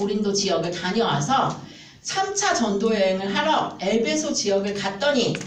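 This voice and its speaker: A woman's fairly high, animated voice with lively intonation at a fairly slow pace, plus audible room echo and noticeable background noise. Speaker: Bible study teacher. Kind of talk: Bible lecture to a class.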